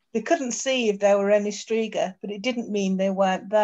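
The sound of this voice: The voice is an unforced reading voice. It reads in that manner throughout.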